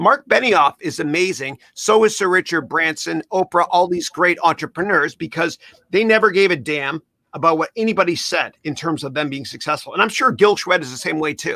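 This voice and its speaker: A man with a Canadian accent speaks high-pitched and animated, in a bright, sharp tone with lively intonation, the sound dry and close with no echo. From Canada. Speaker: podcast host. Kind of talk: interview chat.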